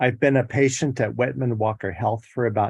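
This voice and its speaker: The man's somewhat breathy, medium-pitched voice has fairly even intonation, captured with a dry, close sound with no echo over a quiet background. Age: 60s. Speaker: public hearing witness. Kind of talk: testimony. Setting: virtual hearing. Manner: reading prepared statement.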